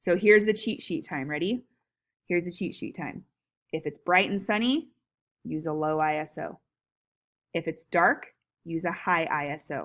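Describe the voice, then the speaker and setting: On a very clean recording with a silent background, a woman speaks at a fairly low pitch with ordinary pitch variation, leaving long, frequent pauses. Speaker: teacher. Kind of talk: lecture. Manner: fast; casual, filler-heavy.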